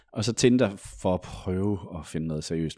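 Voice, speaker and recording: Recorded very cleanly against a silent background, with a dry, close sound and no echo, a man speaks at a moderate pace with ordinary pitch variation. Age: 30s. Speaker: journalist. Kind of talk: casual chat.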